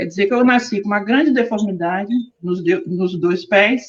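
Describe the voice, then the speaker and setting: This woman's voice is fairly high and somewhat breathy. Her pitch swings very widely. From Rio de Janeiro, Brazil. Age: 60s. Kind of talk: personal testimony in online panel.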